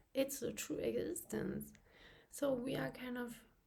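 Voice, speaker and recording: Through audible room echo, a woman with a non-native accent speaks at a very slow pace. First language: not English. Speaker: channel host, abuse survivor. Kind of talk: personal vlog monologue, partly reading a script. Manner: halting with frequent fillers.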